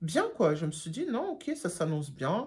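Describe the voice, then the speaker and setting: Her voice is fairly low for a woman and somewhat breathy. She swings very widely in pitch. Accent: German. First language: German (speaking French). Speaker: YouTuber, job seeker. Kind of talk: storytime vlog. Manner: casual, many hesitations.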